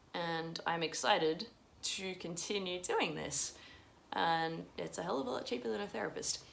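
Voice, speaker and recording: Audible room echo surrounds a woman's voice. Her pitch is fairly low and her intonation lively. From Russia. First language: Russian. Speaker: vlogger. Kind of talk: unscripted personal vlog monologue. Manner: rambling, hesitant with repetitions.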